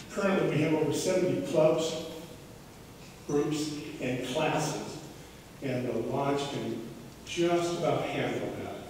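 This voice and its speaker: Strong room echo and light background noise surround a man who speaks at a very slow pace with ordinary pitch variation and long, frequent pauses. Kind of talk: presentation to residents. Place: hall. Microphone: camera far.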